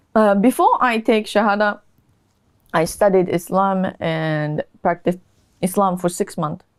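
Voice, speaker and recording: A woman speaks with a Japanese accent at a medium pitch. Her pace is fairly slow and her pitch variation ordinary. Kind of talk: interview about conversion story.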